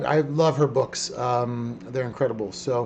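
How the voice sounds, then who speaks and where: The man's voice has ordinary pitch variation. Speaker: podcast host. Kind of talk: live-streamed podcast chat. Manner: loud; animated.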